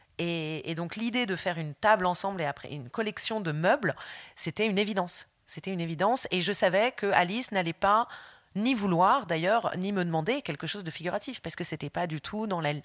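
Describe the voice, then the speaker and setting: Speaking in an ordinary speaking voice, a woman keeps a medium pitch, ordinary pitch variation and a fairly quick pace. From France. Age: 40s. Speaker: illustrator. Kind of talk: interview. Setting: at home.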